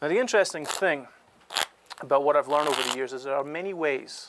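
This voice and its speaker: Soft-spoken, a man talks at a fairly quick pace with ordinary pitch variation over noticeable background noise. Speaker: card magician and cheating expert. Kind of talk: casual explanatory talk demonstrating card tricks.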